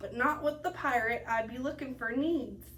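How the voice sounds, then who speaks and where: A growling put-on character voice at a moderate pace, over clear background noise. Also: woman, high pitch for a woman. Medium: read story. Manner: growling, pirate speech.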